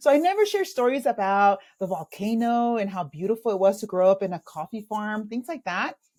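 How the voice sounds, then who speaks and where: A woman with a Spanish accent speaks fairly quickly with ordinary pitch variation, her tone dark and mellow. The recording is very clean, with a silent background. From El Salvador, raised in Los Angeles from age eight. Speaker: executive coach. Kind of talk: interview storytelling.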